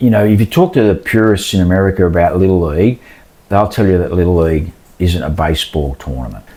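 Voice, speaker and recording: Very fast speech comes from a man with a very deep, low voice. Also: ordinary pitch variation. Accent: Australian. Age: 60s. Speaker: baseball umpire. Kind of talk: casual interview.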